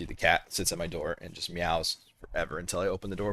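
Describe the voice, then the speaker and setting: A man's voice with fairly even intonation. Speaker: gaming streamer. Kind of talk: live gameplay stream chat. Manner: fast; casual with many fillers.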